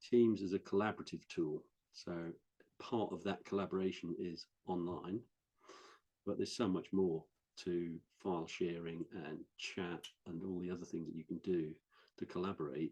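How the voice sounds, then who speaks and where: With a Norfolk accent, the voice has a dark, mellow tone, a moderate pace and fairly even intonation. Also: man, very deep, low pitch for a man. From West Norfolk, England. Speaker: IT training specialist. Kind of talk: interview answer. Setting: online video call.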